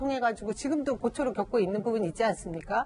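A woman is speaking. Her pitch is fairly high, with ordinary variation. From South Korea. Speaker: party spokesperson. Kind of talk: news panel discussion. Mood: earnest, defending the minister. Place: studio. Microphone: lapel.

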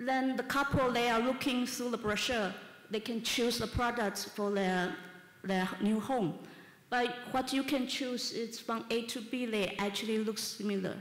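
Amid audible room echo, a woman with a fairly high voice speaks at a fairly slow pace with fairly even intonation. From Taiwan, Taipei; Taiwan. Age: 30s. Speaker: architect. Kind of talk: conference talk. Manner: halting, with fillers. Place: hall. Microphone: camera far.

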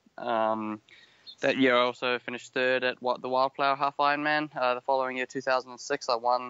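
Fairly quick and monotone, a man speaks with flat intonation. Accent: New Zealand. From New Zealand. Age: 30s. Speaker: professional triathlete. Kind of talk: casual interview.

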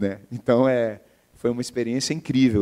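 The background is quiet. A man talks at medium pitch with a dark, mellow tone. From Brazil, Belo Horizonte (Minas Gerais); Minas Gerais, Brazil. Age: 40s. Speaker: entrepreneur; guest. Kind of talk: interview, casual conversation. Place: stage. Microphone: handheld.

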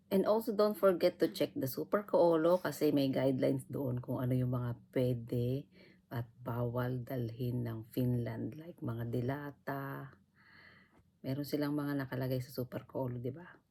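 A woman's very deep, low, dark and mellow voice at a fairly slow pace with ordinary pitch variation. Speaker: vlogger. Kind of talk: casual vlog talk.

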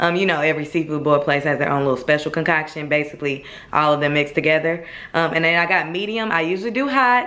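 A woman at a fairly quick pace with ordinary pitch variation. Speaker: vlogger. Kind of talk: casual vlog chat. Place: kitchen. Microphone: phone near.

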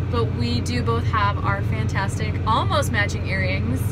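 Amid loud background noise, a woman speaks at a fairly slow pace. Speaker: vlog host. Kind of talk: casual vlog chat. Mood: cheerful, reflective. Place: farm machine. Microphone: phone near.

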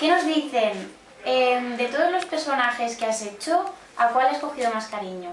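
Through noticeable background noise, a woman with a high pitch speaks at a moderate pace. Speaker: interviewer. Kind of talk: interview questions.

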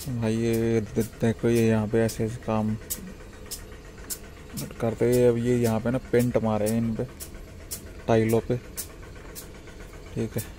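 A man's dark, mellow voice at medium pitch, slow pace, flat monotone intonation, and long, frequent pauses

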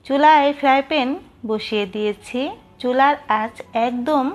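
A woman's high voice with ordinary pitch variation and music in the background. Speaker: home cooking channel host. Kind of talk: recipe tutorial narration.

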